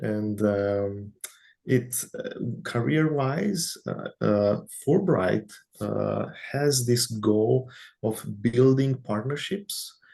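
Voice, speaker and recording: With a non-native accent, a man speaks at a medium pitch in a dark, mellow, somewhat breathy tone. His intonation is lively. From Romania. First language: Romanian. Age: young. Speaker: researcher, IT background. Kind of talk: interview. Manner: halting.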